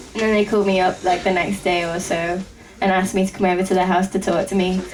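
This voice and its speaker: A woman's very fast, monotone delivery with flat intonation. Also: medium pitch for a woman. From England. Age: 20s. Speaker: rock band drummer. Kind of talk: interview.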